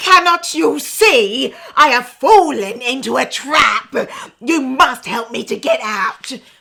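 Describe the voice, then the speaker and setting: A growling, high-pitched put-on character voice makes very wide pitch swings at a fairly slow pace. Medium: read story.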